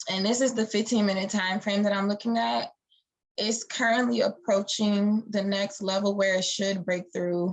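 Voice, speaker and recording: A woman speaks in an ordinary speaking voice, her pitch medium and her intonation fairly even. She keeps a moderate pace with very even loudness. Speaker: forex trader and educator. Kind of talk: live-streamed market analysis tutorial. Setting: live stream. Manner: casual, with many fillers.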